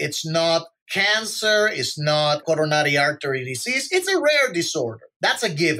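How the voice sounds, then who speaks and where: A man with a Spanish accent speaks at a high pitch. His pace is moderate. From Puerto Rico. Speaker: physician. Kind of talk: podcast monologue.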